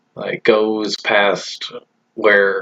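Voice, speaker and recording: A man speaks quietly. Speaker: cartoon episode reviewer. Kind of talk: casual video review. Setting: at home, roommate nearby. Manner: hesitant, with fillers; kept quiet.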